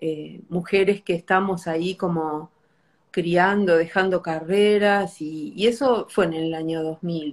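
A woman talks in a fairly low voice with ordinary pitch variation. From Argentina, small inland town. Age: 50s. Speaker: bookshop owner. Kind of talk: casual chat. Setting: Instagram live.

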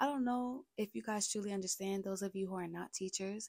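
A woman with an American accent speaks in a medium pitch with a dark, mellow tone that is somewhat breathy. Her pitch variation is ordinary, and the sound is dry and close with no echo. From Brooklyn, New York. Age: 20s. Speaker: podcaster. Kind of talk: casual monologue.

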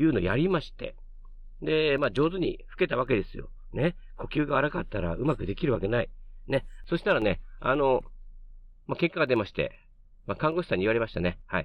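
A man's fairly high voice with very wide swings in pitch, a fairly quick pace, and long, frequent pauses. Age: 50s. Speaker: podcast corner host, father. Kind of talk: casual monologue. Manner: chatty, lots of filler.

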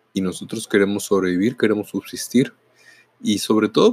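Here is a normal speaking voice from a man, fairly low in pitch and at a fairly quick pace. The sound is dry and close, with no echo. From northern Mexico, Mexicali, Baja California. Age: 40s. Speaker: podcaster and teacher. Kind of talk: reflective monologue.

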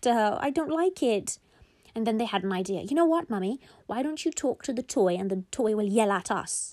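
Lively intonation marks this clip. It is read aloud in a natural reading voice.

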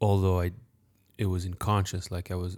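A soft-spoken man's very deep, low voice in a very clean recording with a silent background. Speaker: podcast co-host and meditation teacher. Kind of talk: casual chat. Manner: soft-spoken, quiet.

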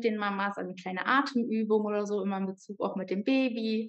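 A woman with fairly even intonation. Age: 30s. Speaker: yoga teacher. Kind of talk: interview.

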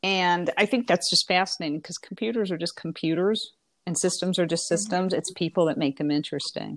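A plain, everyday voice from a woman with an American accent, medium in pitch with ordinary pitch variation, at a fairly quick pace in a very clean recording with a silent background. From Indiana. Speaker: professor. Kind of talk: interview.

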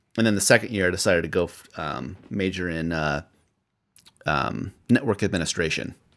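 Over a silent background in a very clean recording, a man with a Midwestern American accent speaks fairly quickly in a very deep, low pitch with ordinary pitch variation. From Iowa, US Midwest. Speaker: podcast co-host. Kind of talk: casual chat.

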